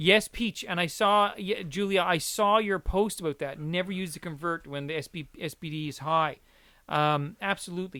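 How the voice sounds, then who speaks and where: On a very clean recording with a silent background, a man with a Newfoundland accent speaks at a moderate pace in a bright, sharp, high-pitched tone with ordinary pitch variation. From Newfoundland, Canada. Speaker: podcast host. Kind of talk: casual chat.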